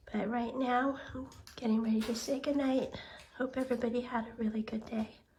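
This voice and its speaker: The voice moves at a fairly quick pace in a monotone, flat intonation, with noticeable background noise present. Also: woman, high pitch for a woman. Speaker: pet video creator. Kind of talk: casual vlog narration.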